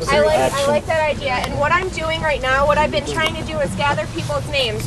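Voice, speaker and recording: This woman talks at a very fast pace, with noticeable background noise behind her. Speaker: protest organizer. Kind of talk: public meeting facilitation. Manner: loud.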